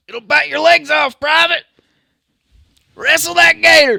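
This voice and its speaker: A man does a put-on character voice at an extremely high pitch. He speaks at a moderate pace. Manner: barking, commanding.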